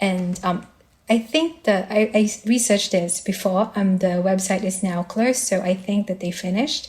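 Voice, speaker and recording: The speaker is a woman with a medium pitch. She talks with a non-native accent. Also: ordinary pitch variation, moderate pace. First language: not English. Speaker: fundraiser organizer. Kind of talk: interview. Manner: halting, many fillers.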